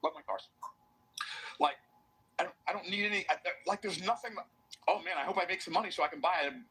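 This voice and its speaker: A raised, projected voice at a very fast pace, with ordinary pitch variation and long, frequent pauses. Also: man, high pitch for a man. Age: 60s. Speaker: motivational business speaker. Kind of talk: motivational speech. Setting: stage with audience. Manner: animated.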